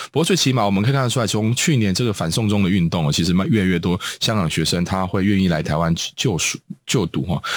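Very fast and lively in intonation, a man speaks at a fairly low pitch with very even loudness. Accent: Taiwanese. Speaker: radio host. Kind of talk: radio interview. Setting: studio. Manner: halting, many filler sounds.

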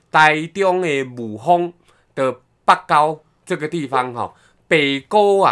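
Pausing long and often, a man with a fairly high pitch speaks at a very slow pace. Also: ordinary pitch variation. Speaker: podcast co-host. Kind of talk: casual chat.

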